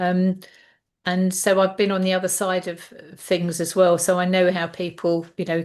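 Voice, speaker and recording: At a fairly slow pace, a woman talks in a monotone, flat intonation. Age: 60s. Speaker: health mentor. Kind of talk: interview. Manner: halting, many fillers and repetitions.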